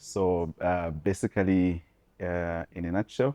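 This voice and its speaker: A dark, mellow tone with fairly even intonation over a quiet background. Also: man. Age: 30s. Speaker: entrepreneur. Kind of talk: interview. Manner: halting, many fillers.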